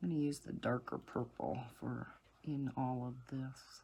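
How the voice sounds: A woman's extremely low-pitched voice, dark and mellow with a slightly husky edge, at a fairly slow pace. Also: fairly even intonation.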